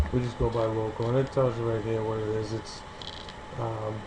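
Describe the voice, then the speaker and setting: A man with a strong Boston accent, medium pitch and a fairly quick pace, against noticeable background noise. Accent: heavy Boston. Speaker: SEO consultant. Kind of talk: screen-recording tutorial. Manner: casual, hesitant with many fillers.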